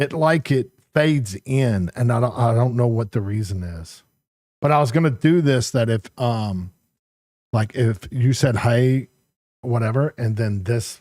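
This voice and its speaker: Mumbling at a fairly slow pace, a man with a dark, mellow tone and medium pitch shows ordinary pitch variation, in a dry, close sound with no echo on a very clean recording with a silent background. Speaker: gaming streamer. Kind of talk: casual live-stream chat. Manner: halting.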